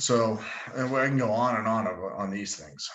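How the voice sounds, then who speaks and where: At a moderate pace, this is an ordinary speaking voice with ordinary pitch variation. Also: man. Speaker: sales engineer presenting a product. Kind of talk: webinar presentation with Q&A. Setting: online webinar.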